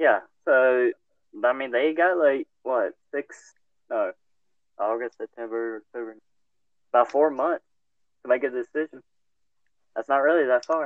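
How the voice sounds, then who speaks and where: The speech keeps a moderate pace, broken by long, frequent pauses. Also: man, medium pitch for a man, ordinary pitch variation. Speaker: podcast host. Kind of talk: casual chat. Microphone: poor mic, quiet and muffled.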